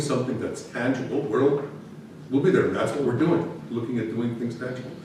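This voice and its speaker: A man talks at medium pitch with ordinary pitch variation. Noticeable background noise and audible room echo are present. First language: not English. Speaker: municipal administrator. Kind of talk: council meeting report. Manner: halting.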